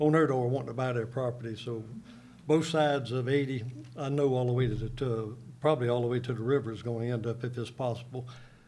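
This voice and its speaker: In a Southern US accent, a man talks very fast in a flat monotone, his voice somewhat breathy, with audible room echo. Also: medium pitch for a man. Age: 70s. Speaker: local resident speaking at public hearing. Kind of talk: public comment at county board meeting. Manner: halting.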